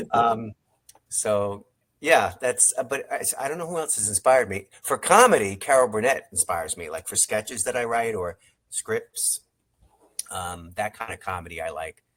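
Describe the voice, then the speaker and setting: Speaking with an American accent, a man at a medium pitch and moderate pace uses lively intonation and big swings in loudness, recorded very cleanly with a silent background. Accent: New York, faint, comes out when tired. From New York, Long Island. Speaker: songwriter and screenwriter. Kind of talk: interview. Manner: halting, many fillers.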